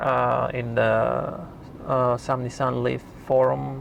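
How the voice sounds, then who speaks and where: A man with a non-native accent talks over noticeable background noise. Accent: foreign accent, self-noted. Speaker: YouTube car reviewer. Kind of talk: tutorial. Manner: halting.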